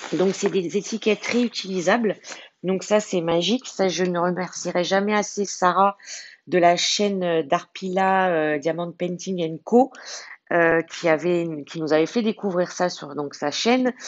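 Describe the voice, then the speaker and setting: A woman speaks at a fairly low pitch. Her pace is fairly slow, and her pitch varies in an ordinary way. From France, Lyon. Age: 40s. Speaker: diamond painting YouTuber. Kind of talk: casual chat. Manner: halting, many fillers.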